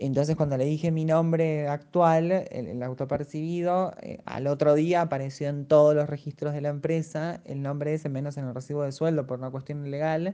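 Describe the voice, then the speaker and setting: Keeping a moderate pace with hardly any pauses, a woman speaks in a very deep, low, dark and mellow voice with fairly even intonation. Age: 30s. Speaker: actress and English teacher. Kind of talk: interview testimony. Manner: halting.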